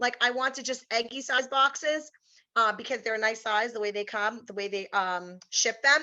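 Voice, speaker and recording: Against a quiet background, a woman with a New York accent speaks in a bright, sharp tone at a fairly high pitch with lively intonation. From New York, Brooklyn. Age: 40s. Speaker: teacher giving a training. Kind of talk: online workshop presentation.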